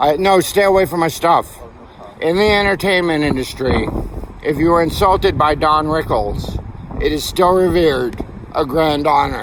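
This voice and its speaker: A man with a fairly high pitch and ordinary pitch variation is heard against noticeable background noise. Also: moderate pace, very even loudness. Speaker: artist and homeless vlogger with schizophrenia. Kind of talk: personal video diary. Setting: outdoors at a bus stop.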